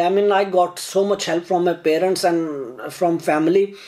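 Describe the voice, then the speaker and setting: With a Pakistani accent, a man speaks at a moderate pace in a high pitch with ordinary pitch variation, over noticeable background noise. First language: Urdu. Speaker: YouTuber. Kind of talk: casual chat. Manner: halting.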